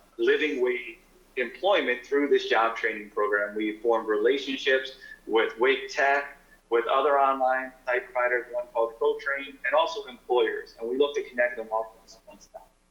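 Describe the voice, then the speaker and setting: Speaking at a moderate pace with medium pitch and ordinary pitch variation, a man's loudness swings widely, and the room echo is audible. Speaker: nonprofit representative. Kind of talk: presentation to town council. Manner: halting.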